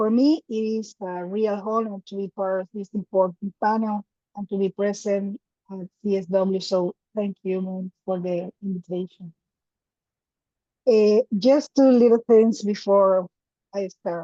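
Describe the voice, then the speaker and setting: Talking at a fairly slow pace, a woman with a Spanish accent has a medium pitch and a dark, mellow tone. Her intonation stays fairly even while her loudness swings widely. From Ecuador. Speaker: activist, director of an LGBTQ organization. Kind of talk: prepared presentation read aloud.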